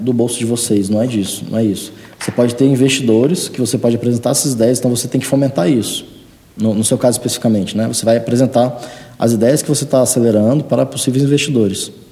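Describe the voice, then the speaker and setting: Over noticeable background noise, a man talks at a very fast pace with a medium pitch and fairly even intonation. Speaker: entrepreneur and startup mentor. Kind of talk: casual chat.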